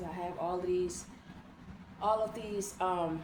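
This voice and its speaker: Noticeable background noise and audible room echo surround the recording. A woman speaks at a medium pitch with monotone, flat intonation. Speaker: online teacher. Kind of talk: lecture. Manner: slow and calm; repetitive.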